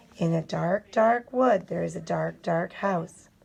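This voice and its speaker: A female-sounding put-on character voice at a medium pitch moves along at a fairly slow pace. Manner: spooky storytelling.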